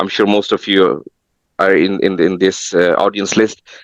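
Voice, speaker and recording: A man with a non-native accent talks at a moderate pace and a fairly low pitch. The sound is dry and close with no echo, over a quiet background. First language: not English. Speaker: tech professional giving career advice. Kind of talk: webinar panel talk. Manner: halting, repeats words.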